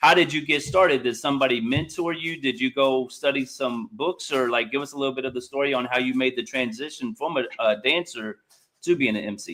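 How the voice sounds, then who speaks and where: In a plain, everyday voice, a man with a fairly high pitch talks at a fairly quick pace with ordinary pitch variation. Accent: American. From Indianapolis, US Midwest. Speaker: interviewer. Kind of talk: interview.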